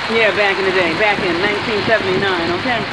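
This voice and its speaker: With background music playing, someone talks at a moderate speed. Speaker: truck driver vlogger. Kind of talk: casual vlog chat. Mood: cheerful, friendly. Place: street. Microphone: phone near.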